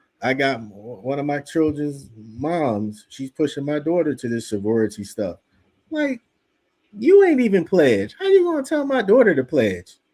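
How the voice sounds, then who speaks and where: A man speaks with very wide pitch swings. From US Northeast, Philadelphia. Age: 50s. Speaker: religious teacher. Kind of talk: religious class. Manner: animated.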